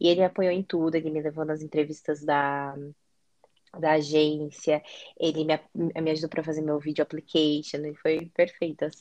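A woman talks at a moderate pace with a very deep, low pitch. Her intonation is monotone and flat. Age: 20s. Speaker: foreign trade analyst, guest. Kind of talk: casual interview.

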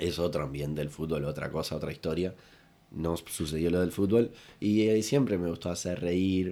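A man with a Uruguayan accent speaks at a moderate pace in a very deep, low pitch, his dark, mellow tone showing ordinary pitch variation on a very clean recording with a silent background. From Uruguay, Rocha. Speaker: comedian and impressionist. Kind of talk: casual chat. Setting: studio, in person.

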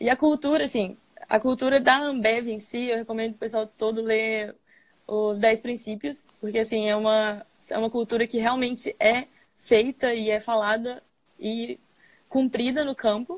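In a normal speaking voice, the speaker keeps a moderate pace and fairly even intonation. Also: woman, fairly high pitch for a woman. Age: 20s. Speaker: engineering trainee at a brewing company. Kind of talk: interview on a live stream. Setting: online live stream.

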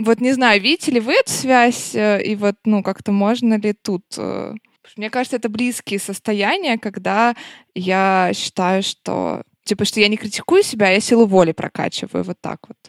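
On a very clean recording with a silent background, a woman uses an ordinary speaking voice with fairly even intonation. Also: dry, close sound with no echo. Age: 20s. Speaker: podcast host. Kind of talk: casual chat.

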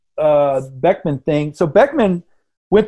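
A man with an American accent talks at a moderate pace, his pitch swinging very widely. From grew up abroad and in the US (Indonesia, Venezuela, Massachusetts boarding school). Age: 50s. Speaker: artist and printmaker. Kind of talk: casual interview chat.

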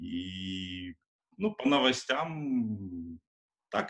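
A man speaks with a very deep, low pitch and a bright, sharp tone. His intonation is lively. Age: 30s. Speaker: Android developer. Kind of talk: casual chat. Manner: hesitant with fillers.

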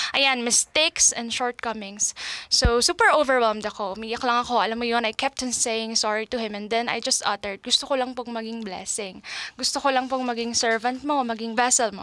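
The delivery is fairly quick, with fairly even intonation. The sound is dry and close with no echo, though there is noticeable background noise. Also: woman, fairly high pitch for a woman. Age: 20s. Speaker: podcast host, teacher. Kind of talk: casual monologue podcast. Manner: chatty, talkative.

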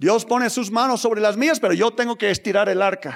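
An animated man speaks on a very clean recording with a silent background. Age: 50s. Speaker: pastor. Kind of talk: sermon.

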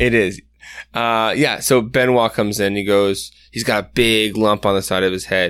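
Someone reads aloud plainly, with fairly even intonation.

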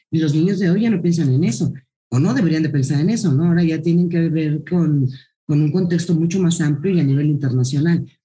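A woman's voice sits very deep and low, with a dark, mellow tone and a somewhat breathy quality. She keeps a fairly quick pace and very even loudness. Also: ordinary pitch variation. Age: 50s. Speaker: school director. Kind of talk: interview.

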